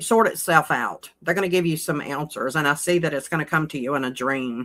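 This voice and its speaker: A woman speaks at a fairly slow pace in a Southern US accent with ordinary pitch variation. The recording is very clean, with a silent background. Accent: Southern US drawl. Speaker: card reader. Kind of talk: tarot card reading. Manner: soft-spoken; halting.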